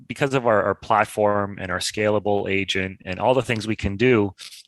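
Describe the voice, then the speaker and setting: The man's voice sits fairly low in pitch. He speaks at a fairly quick pace with fairly even intonation. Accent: slight Canadian. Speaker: tech company partnerships executive. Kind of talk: interview. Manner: halting, repeats words.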